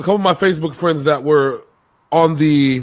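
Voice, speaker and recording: Ordinary pitch variation in a fairly high male voice. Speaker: sports show co-host. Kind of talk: casual sports debate. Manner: animated.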